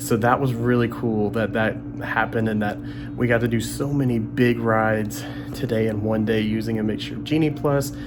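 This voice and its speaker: A soft-spoken man talks at a moderate pace amid audible room echo and noticeable background noise. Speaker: travel vlogger. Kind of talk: casual vlog narration. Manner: soft-spoken, keeping it quiet.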